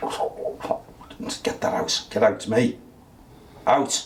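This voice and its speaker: A man's growling, put-on character voice at a very slow pace, with light background noise. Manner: growling, forceful.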